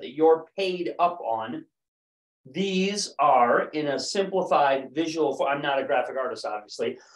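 A man speaks at a fairly slow pace in a high voice. There is audible room echo against a quiet background. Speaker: presenter. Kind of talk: sales presentation. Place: office.

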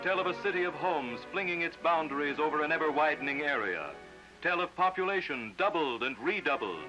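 Clear music plays in the background as a man speaks in a high-pitched voice. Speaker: documentary narrator. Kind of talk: formal documentary narration. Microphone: old recording.

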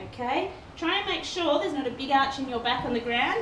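A high-pitched woman at a fairly quick pace over noticeable background noise. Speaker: fitness instructor. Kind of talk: guided workout class, instructing exercises with cues and countdowns. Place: garage. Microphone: camera far.

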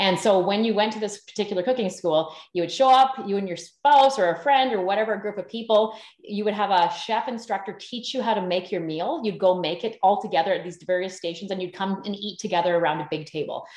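Talking very fast with hardly any pauses, a woman with a Canadian accent sounds animated and shows ordinary pitch variation. Room echo is audible, though the background is quiet. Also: medium pitch for a woman. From Canada, northern British Columbia. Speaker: sourdough baking teacher; podcast guest, baking teacher. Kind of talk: casual interview. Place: home room. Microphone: video call.

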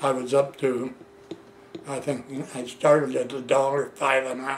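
A man speaks at a moderate pace with monotone, flat intonation. Light background noise can be heard. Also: medium pitch for a man. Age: 80s+. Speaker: retired plating worker telling life story. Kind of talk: oral history interview. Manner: halting. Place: home room. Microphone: camera far.

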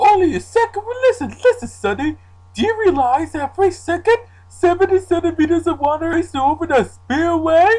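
At a moderate pace, the voice sits at an extremely high pitch. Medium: fan dub.

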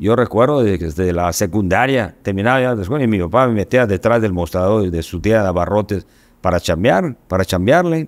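A man at a fairly quick pace, fairly low in pitch, with ordinary pitch variation. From Yucatán, Mexico. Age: 60s. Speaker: state education official and businessman; guest. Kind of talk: podcast interview. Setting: studio. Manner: halting, many repetitions and fillers. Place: studio. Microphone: studio mic.

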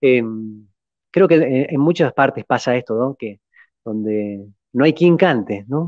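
The intonation is lively. The background is quiet. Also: man, dry sound with no echo. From Argentina. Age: 30s. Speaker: podcast guest. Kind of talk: interview. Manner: halting. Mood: warm, smiling.

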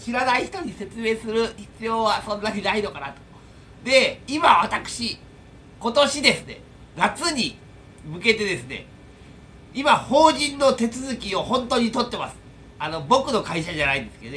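Raised and projected, a man's extremely high-pitched voice makes very wide pitch swings and big swings in loudness over light background noise. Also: moderate pace. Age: 40s. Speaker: YouTuber and air-conditioner installation tradesman; YouTuber. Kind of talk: casual vlog monologue. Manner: rambling with many fillers. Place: home room. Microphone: phone near.

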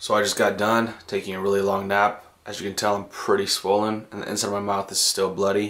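Speaking at a fairly quick pace with hardly any pauses, a man keeps a fairly low pitch and a monotone, flat intonation. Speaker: vlogger. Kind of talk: casual vlog chat.

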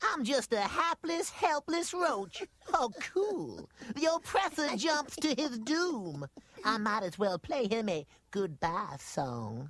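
A man talks at a fairly slow pace in an extremely high voice. His pitch swings very widely. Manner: nervous, slangy.

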